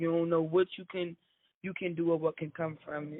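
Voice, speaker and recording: Her voice fairly low, a woman talks at a fairly quick pace. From New Jersey, Paterson. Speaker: musician. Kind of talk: casual interview.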